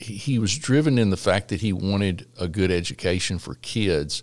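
A man with a Texan accent, fairly low in pitch, at a moderate pace. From Texas Gulf Coast, La Porte. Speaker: state legislator. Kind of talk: interview. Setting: church building.

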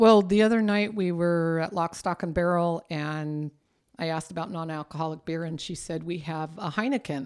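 Delivered at a moderate pace with a Californian accent, the speech is on a very clean recording with a silent background. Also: woman, fairly low pitch for a woman, ordinary pitch variation. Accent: Californian American. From southern California. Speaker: retired legal office worker. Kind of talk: casual chat.

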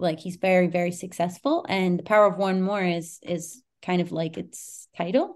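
A woman's medium-pitched voice against a quiet background. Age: 30s. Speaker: equestrian athlete and sports massage therapist. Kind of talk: casual interview chat. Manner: animated.

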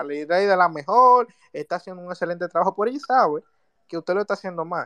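Over a quiet background, a man with a high voice speaks with lively intonation in a dry, close sound with no echo. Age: 20s. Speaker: listener asking questions. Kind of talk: audience question. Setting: Twitter audio space.

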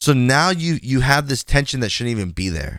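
A man with an ordinary speaking voice at a medium pitch, lively intonation and a moderate pace, in a very clean recording with a silent background. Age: 20s. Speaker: gaming streamer and podcast host. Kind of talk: casual solo podcast monologue.

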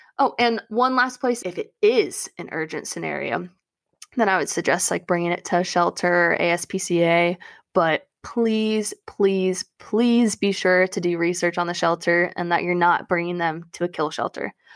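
A woman with an unremarkable speaking voice, moderate pace and ordinary pitch variation, in a dry, close recording with no echo, very clean with a silent background. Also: fairly low pitch for a woman. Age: 20s. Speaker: podcast co-host. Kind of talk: casual chat.

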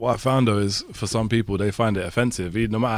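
A man speaks with a London accent and fairly even intonation. The recording is very clean, with a silent background. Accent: London multicultural English. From North London, England. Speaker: podcast guest. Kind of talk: casual chat.

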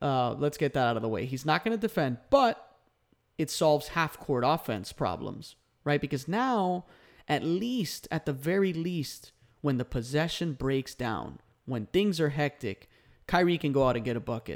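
A man with a normal speaking voice and a fairly high pitch talks at a moderate pace with lively intonation, in a very clean recording with a silent background. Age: 20s. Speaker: basketball podcast host. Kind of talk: solo podcast commentary. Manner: casual with frequent fillers.

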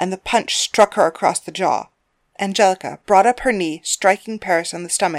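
Reading aloud in a natural voice, with ordinary pitch variation, against a quiet background.

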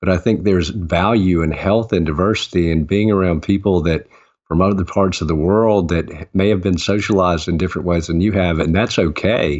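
With a Southern US accent, a man talks at a fairly quick pace in a very deep, low voice, with fairly even intonation and hardly any pauses. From US South, Augusta, Georgia. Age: 50s. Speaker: author and former mayor. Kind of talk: interview.

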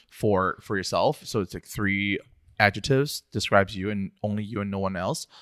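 Recorded very cleanly against a silent background, a man's medium-pitched voice has a bright, sharp tone and a dry, close sound with no echo. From southern China. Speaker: graphic designer. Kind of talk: casual interview. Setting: studio.

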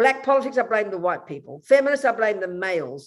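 A woman with a fairly high pitch and very wide pitch swings. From Australia. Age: 70s. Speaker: Buddhist nun. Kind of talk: interview conversation. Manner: animated.

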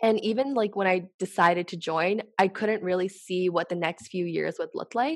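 Moderate in pace, a woman talks with hardly any pauses in a plain, everyday voice. Her pitch is medium, with ordinary pitch variation. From Canada. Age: 20s. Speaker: startup e-commerce lead. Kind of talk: casual interview chat.

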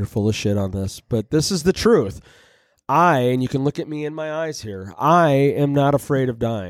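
Here is a man with an unremarkable speaking voice at medium pitch and lively intonation. He talks at a moderate pace on a very clean recording with a silent background. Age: 40s. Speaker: recovery group leader. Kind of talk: casual chat.

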